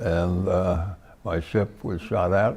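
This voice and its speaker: With an American accent, a man speaks in a dark, mellow tone that is somewhat breathy. His intonation is fairly even. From US West Coast (California). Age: 90s. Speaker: war veteran. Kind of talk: interview. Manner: halting.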